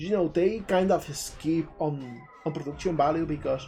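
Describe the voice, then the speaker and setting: A man with a Spanish accent speaks in a high-pitched voice. Noticeable background noise runs underneath. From southern Spain, Jaén, Andalusia. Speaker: indie game developer and streamer. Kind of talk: live stream commentary. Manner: animated.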